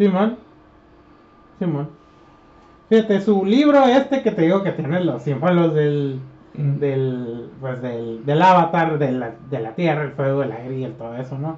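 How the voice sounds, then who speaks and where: Speaking fairly slowly with long, frequent pauses, a man with a Mexican accent uses a fairly high pitch and lively intonation. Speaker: podcast co-host. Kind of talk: casual chat.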